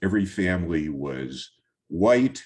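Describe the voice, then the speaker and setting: A man speaks at a very deep, low pitch with vocal fry. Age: 70s. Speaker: photographer. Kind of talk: presentation talk over slides. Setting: virtual talk. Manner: halting, many fillers.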